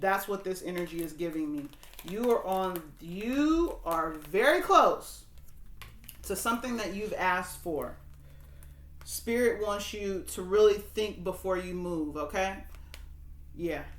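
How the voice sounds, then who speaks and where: A woman at medium pitch, fairly slow and broken by long, frequent pauses, with ordinary pitch variation and audible room echo. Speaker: tarot reader and spiritual coach. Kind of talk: tarot reading to camera. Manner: casual, halting with fillers.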